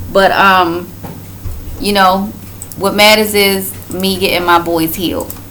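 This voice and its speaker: In audible room echo with noticeable background noise, a woman speaks at medium pitch and a very slow pace, with fairly even intonation and long, frequent pauses. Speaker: vlogger. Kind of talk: casual chat.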